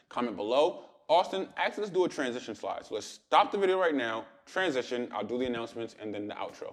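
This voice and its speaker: An animated man talking at a very fast pace, ordinary pitch variation, quiet background. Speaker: day trader and trading educator. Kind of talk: casual vlog talk to viewers.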